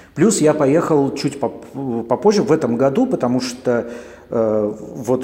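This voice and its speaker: A man talks at a medium pitch. Noticeable background noise runs underneath. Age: 40s. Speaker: podcaster. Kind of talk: casual monologue. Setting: coworking space.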